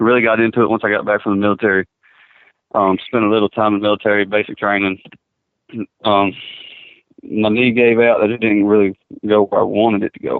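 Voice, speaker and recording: Speaking very fast with a Kentucky accent, a man uses a fairly low pitch and monotone, flat intonation, broken by long, frequent pauses. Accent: southern US (Kentucky). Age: 20s. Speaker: bull rider. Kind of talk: phone interview. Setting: phone call.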